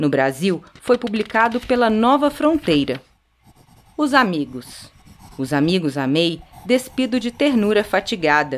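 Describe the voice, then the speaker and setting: Very wide pitch swings run through this woman's speech. She keeps a fairly slow pace. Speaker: podcast host and poetry reader. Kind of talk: poetry reading, slow and meditative, after a scripted narrated introduction. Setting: studio. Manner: slow, soft, measured and contemplative, with pauses at line ends; warm, tender, gently expressive delivery.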